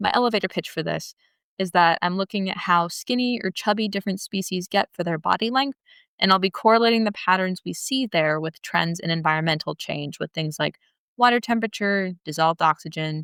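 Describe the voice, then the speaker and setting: With an American accent, a woman speaks at a fairly quick pace in a medium pitch, with ordinary pitch variation and an ordinary speaking voice. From Southern California. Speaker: podcast host and graduate student researcher. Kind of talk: scripted podcast narration.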